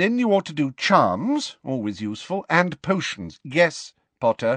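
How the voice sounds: A man's put-on character voice, fairly high and fairly bright, with big pitch swings at a fairly slow pace, in a dry, close sound with no echo.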